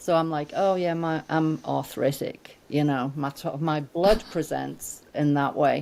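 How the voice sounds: Her low-pitched voice has vocal fry and a slightly mellow tone as this woman talks at a fairly slow pace with fairly even intonation.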